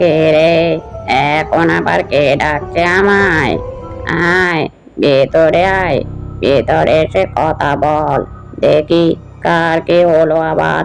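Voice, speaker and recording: With clear music in the background, a man does a cartoonish character voice at a very slow pace and a fairly high pitch. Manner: commanding, gruff.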